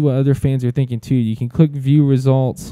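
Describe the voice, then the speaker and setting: With an Alabama accent, a man of medium pitch speaks in a dark, mellow tone with fairly even intonation, in a dry, close sound with no echo. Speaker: sports media director. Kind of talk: tutorial. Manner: casual, many fillers and restarts.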